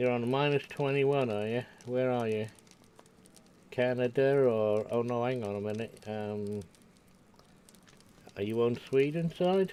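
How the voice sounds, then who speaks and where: A man with a Scottish accent, at a fairly slow pace, with long, frequent pauses. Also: medium pitch for a man, ordinary pitch variation. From Scotland. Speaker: game streamer. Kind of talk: casual chat. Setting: live stream. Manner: halting.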